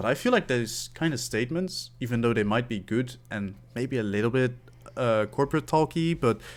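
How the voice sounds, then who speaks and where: In a very clean recording with a silent background, a man with a Dutch accent speaks at a medium pitch and moderate pace with ordinary pitch variation. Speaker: esports caster and podcast co-host. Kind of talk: casual chat.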